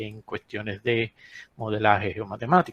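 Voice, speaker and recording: Dry, close sound with no echo, and a man of medium pitch with an ordinary speaking voice at a moderate pace. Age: 60s. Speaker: geologist. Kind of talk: lecture. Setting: webinar.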